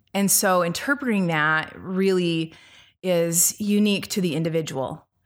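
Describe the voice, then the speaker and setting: A woman's plain, everyday voice at a medium pitch, with ordinary pitch variation and a moderate pace, in a very clean recording with a silent background. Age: 40s. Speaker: shamanic healer and meditation teacher. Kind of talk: interview conversation.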